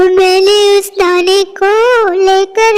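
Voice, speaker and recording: A cartoonish character voice over light background noise. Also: female-sounding voice. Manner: earnest, worried.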